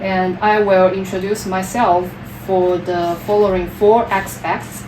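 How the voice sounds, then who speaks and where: Over noticeable background noise and audible room echo, a woman of medium pitch speaks very slowly in a Chinese accent with monotone, flat intonation. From China, Wuhan. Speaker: PhD applicant. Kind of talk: job interview. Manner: halting.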